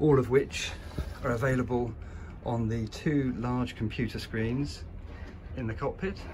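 The speech has ordinary pitch variation, with light background noise behind it. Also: man, fairly slow pace. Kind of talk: walkthrough commentary. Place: boat. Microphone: phone near.

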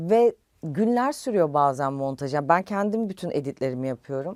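In a very clean, dry, close recording with a silent background and no echo, a woman with a fairly low pitch and dark, mellow tone speaks at a moderate pace with lively intonation. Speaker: influencer. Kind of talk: interview. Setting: studio.

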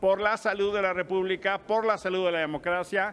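The speaker talks at a moderate pace with fairly even intonation. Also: man. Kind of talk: press conference statement. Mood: firm, accusatory. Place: hall. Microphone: podium.

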